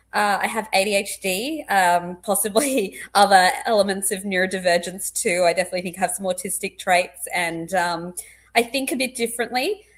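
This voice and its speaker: A woman with a slight Australian accent talks with hardly any pauses and ordinary pitch variation, recorded very cleanly against a silent background. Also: medium pitch for a woman. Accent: slightly posh Australian. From Australia, born in England. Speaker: clinical psychologist. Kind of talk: casual interview chat. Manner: fast; loud and intense.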